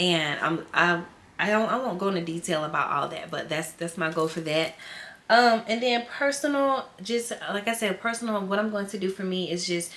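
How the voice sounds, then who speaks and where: A woman talks in an animated tone at medium pitch with ordinary pitch variation, with noticeable background noise behind her. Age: 20s. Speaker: teacher and lifestyle vlogger. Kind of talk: casual vlog talk to viewers. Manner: fast.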